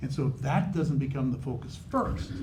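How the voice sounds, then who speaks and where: Vocal fry runs through a man's dark, mellow tone at a moderate pace. Room echo is audible. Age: old. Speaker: judge running for supreme court. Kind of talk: candidate forum answer. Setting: in-person community forum. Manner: animated.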